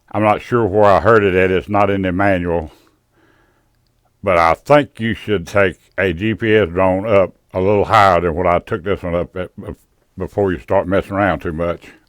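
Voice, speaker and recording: A man with a Southern US accent and a very deep, low pitch, fairly even intonation and a moderate pace, on a very clean recording with a silent background. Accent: Southern US rural. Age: old. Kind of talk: casual drone video narration. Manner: rambling, folksy.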